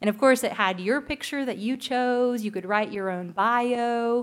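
In a plain, everyday voice, a woman with a fairly high pitch speaks at a moderate pace on a very clean recording with a silent background. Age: 20s. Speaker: pastor. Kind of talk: sermon.

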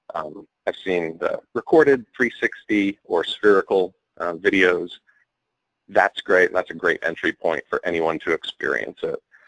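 A man at a fairly slow pace, the sound dry and close with no echo. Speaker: freelance technology writer. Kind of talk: casual chat.

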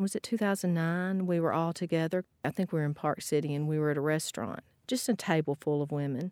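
A woman with a Southern US accent talks at a very fast pace with a fairly low pitch and ordinary pitch variation. Her loudness stays very even, and the sound is dry and close with no echo, on a very clean recording with a silent background. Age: 50s. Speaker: alumna. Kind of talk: recorded conversation.

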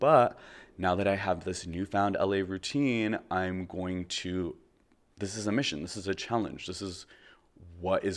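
Over a very clean recording with a silent background comes a normal speaking voice with ordinary pitch variation. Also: man. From Canada. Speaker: podcast host. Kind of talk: solo personal monologue; guided relaxation.

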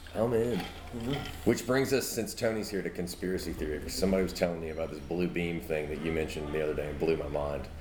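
A man with a very deep, low voice and an American accent talks very fast with hardly any pauses. Background noise is noticeable. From US South, Mobile, Alabama. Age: 30s. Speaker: podcast host and amateur comedian. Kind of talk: casual chat. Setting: outdoor porch, live-streamed.

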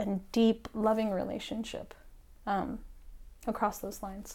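A woman, fairly high-pitched and fairly slow, with a dark, mellow tone in a very clean recording with a silent background. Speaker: performance artist. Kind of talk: casual chat.

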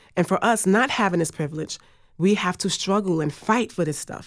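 A woman with an American accent talks at a moderate pace, using an ordinary speaking voice and ordinary pitch variation. The recording is very clean, with a silent background. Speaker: interviewee. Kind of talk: recorded conversation.

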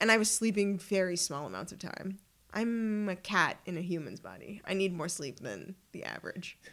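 A woman speaks in a plain, everyday voice with a Canadian accent, at a moderate pace with ordinary pitch variation. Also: medium pitch for a woman. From Ottawa, Canada. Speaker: traveler. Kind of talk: casual chat.

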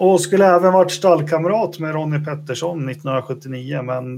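A man has an ordinary speaking voice, with ordinary pitch variation and a moderate pace. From Sweden, Västerås. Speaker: podcast host. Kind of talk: casual chat.

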